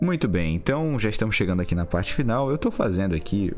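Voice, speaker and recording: A man at a fairly quick pace. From rural Brazil. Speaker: podcast host. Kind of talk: solo podcast monologue. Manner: casual, hesitant with repetitions.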